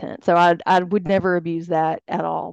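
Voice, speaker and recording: A woman at a moderate pace, a normal speaking voice. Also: dry, close sound with no echo. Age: 40s. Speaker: guest, former interior designer turned plant healer. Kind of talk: casual interview chat. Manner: laughs often.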